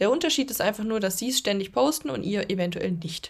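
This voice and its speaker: A woman talks at a fairly quick pace with lively intonation and vocal fry. Her pitch is medium. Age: 20s. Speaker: podcast host, social media creator and coach. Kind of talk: solo podcast monologue. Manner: casual, filler-heavy.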